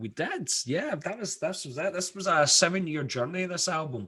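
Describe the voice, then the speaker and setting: In a Scottish accent, a man speaks with lively intonation. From Scotland, Glasgow. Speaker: rock band musician. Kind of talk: radio interview.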